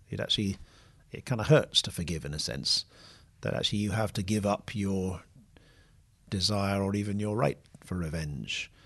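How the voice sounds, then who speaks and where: Against a quiet background, a man with a British accent speaks at a moderate pace and a fairly low pitch, with ordinary pitch variation and long, frequent pauses. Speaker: podcast host, theologian. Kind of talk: casual discussion. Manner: soft-spoken, trying to speak up.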